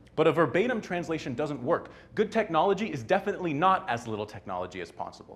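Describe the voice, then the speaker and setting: With vocal fry and very wide pitch swings, a man talks at a very fast pace. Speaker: technologist giving a short talk. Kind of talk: short conference talk. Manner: hesitant, many fillers.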